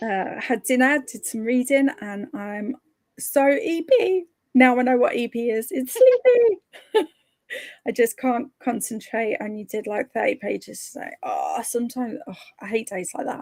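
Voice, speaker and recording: A high-pitched woman's voice with big swings in loudness, in a dry, close sound with no echo. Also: lively intonation, moderate pace. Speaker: streamer hosting reading sprints. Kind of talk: casual livestream chat. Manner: hesitant, many fillers.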